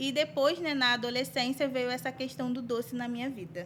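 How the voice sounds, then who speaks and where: Here a woman speaks at a high pitch. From Brazil, Duque de Caxias. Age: 20s. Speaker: bakery business owner. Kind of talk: interview.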